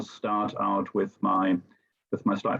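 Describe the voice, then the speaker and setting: Speaking at a very slow pace, a man keeps to a medium pitch. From Germany. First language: German. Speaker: teacher. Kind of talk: presentation. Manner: halting, many fillers.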